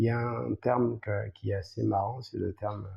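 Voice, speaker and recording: A man speaks with vocal fry. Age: 40s. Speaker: salsa dancer and teacher. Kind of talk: podcast interview. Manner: hesitant, many fillers.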